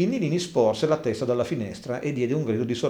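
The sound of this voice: What is heard is reading done in an unforced voice.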